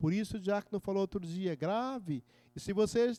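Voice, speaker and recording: A man speaks in a high pitch with a dark, mellow tone. The sound is dry and close with no echo, on a very clean recording with a silent background. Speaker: deacon teaching a preaching course. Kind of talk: lecture.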